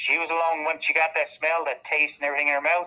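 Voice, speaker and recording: This man has a Newfoundland accent and a fairly high pitch for a man. He talks fairly quickly in a bright, sharp tone. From Newfoundland, Canada (Bell Island). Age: 70s. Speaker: local historian and tourism official. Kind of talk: storytelling interview.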